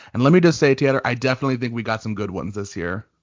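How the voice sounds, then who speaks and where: A man talks at a very fast pace. His pitch is medium with ordinary variation. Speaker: digital content coordinator. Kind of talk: podcast co-host reading and reacting to stories. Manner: casual, conversational.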